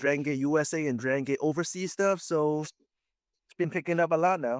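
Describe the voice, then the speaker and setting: A man speaks with a Hong Kong accent and ordinary pitch variation. The recording is very clean, with a silent background and a dry, close sound with no echo. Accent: Hong Kong Cantonese-accented English. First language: Chinese. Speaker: professional wrestler. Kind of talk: interview. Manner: halting.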